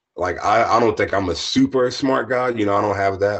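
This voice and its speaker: A somewhat breathy man's voice with an American accent, a moderate pace and ordinary pitch variation. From US East Coast, southern Maryland. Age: 20s. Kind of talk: casual interview. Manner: halting.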